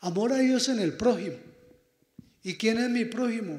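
Against a quiet background, a man's voice carries audible room echo. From Colombia, Boyacá; Colombia. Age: 60s. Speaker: priest. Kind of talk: address to students; prayer. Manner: animated. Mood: warm, pastoral. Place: hall.

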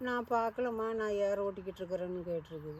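Her voice sits at a medium pitch for a woman, and its pitch variation is ordinary. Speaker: storyteller. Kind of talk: folk story told to children. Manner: casual, conversational.

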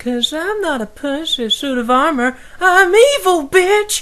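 The voice is extremely high in pitch and moves at a fairly slow pace. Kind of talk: comic overacting parody. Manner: crude, menacing, sleazy.

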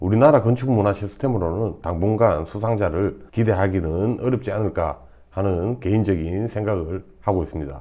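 Over noticeable background noise, a man talks at a fairly quick pace in a fairly low pitch. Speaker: architect and educational video host. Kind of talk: scripted narration. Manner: formal.

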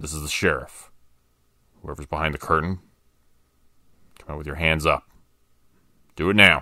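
Using a put-on character voice, a man speaks gruffly at a very deep, low pitch, keeping a moderate pace and fairly even intonation. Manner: gruff, commanding.

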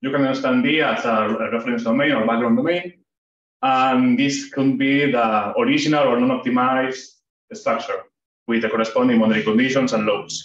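A man speaks at a fairly quick pace with a Spanish accent. His pitch is medium, with ordinary variation and very even loudness. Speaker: PhD student presenting research. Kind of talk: academic seminar talk. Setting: seminar room with audience. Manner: hesitant, with frequent fillers.

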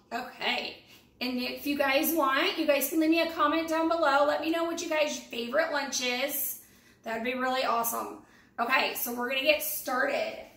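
The speaker talks at a moderate pace with fairly even intonation. Room echo is audible. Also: woman, high pitch for a woman. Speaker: home cooking vlogger. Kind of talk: tutorial. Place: kitchen. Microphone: camera far.

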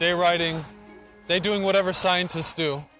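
Over faint music in the background, a man with a high-pitched voice talks at a moderate pace, the sound dry with no echo. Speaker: travel vlogger. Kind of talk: casual vlog chat. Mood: playful, amused. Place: street.

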